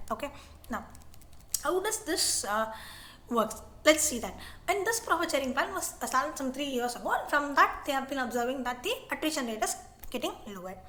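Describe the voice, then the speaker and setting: A woman with a high pitch uses a raised, projected voice, her pitch swinging very widely between long, frequent pauses. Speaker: online tutor. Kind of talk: tutorial. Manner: fast; halting.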